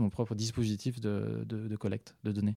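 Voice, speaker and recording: A man speaks at a moderate pace in a fairly low voice with a dark, mellow tone. The recording is very clean and dry, close-miked with no echo against a silent background. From southern France (Occitanie). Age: 30s. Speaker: researcher. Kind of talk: interview. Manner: halting, many repetitions and fillers.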